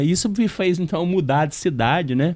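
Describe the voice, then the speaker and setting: This man speaks in a Minas Gerais accent. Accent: Minas Gerais accent, noticeable. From Minas Gerais, Brazil (Uberlândia). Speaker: real estate consultant. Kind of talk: podcast interview.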